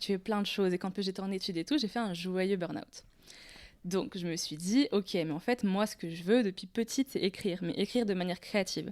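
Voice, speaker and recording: At a fairly quick pace, a woman speaks in an ordinary speaking voice at medium pitch with ordinary pitch variation. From Tunisia. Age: 20s. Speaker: poet and graphic designer. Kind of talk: casual interview.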